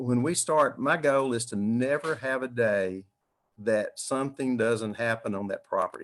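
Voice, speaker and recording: A man speaks at a medium pitch in a Southern US accent. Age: 70s. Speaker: retired dentist and builder. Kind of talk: online Q&A panel. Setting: livestreamed online meetup.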